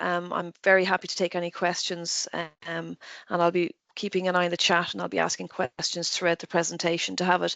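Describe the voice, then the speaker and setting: At a fairly quick pace, a woman talks with an Irish accent. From Ireland. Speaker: nursing professor. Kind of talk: lecture. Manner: fast.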